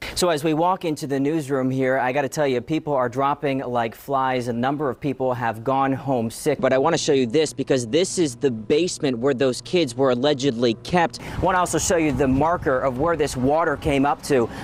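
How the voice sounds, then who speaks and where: An upbeat, fairly quick delivery with hardly any pauses, over noticeable background noise. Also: man, medium pitch for a man. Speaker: television reporter and anchor. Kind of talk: television news reporter package and live shot. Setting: outdoors, live on location. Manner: conversational live report, upbeat.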